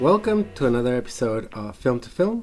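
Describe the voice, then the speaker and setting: A man with a non-native accent, at a moderate pace and with ordinary pitch variation. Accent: noticeable non-native. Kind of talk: hosting, podcast. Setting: podcast.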